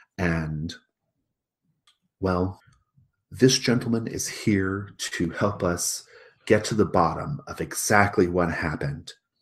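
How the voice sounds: A man does a put-on character voice, low-pitched with a slightly husky edge. He goes at a slow pace with long, frequent pauses and ordinary pitch variation.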